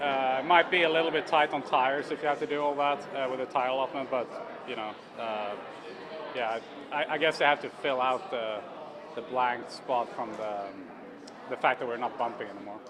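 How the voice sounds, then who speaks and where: The pace is fairly quick, yet long pauses come often. Pitch varies in an ordinary way, and background noise is noticeable. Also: man, medium pitch for a man. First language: not English. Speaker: racing driver. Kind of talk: press interview. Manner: halting.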